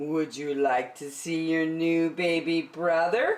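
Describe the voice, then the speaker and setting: Doing a put-on character voice, a woman speaks at a fairly low pitch with ordinary pitch variation. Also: fairly slow pace. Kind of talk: bedtime story. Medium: read story.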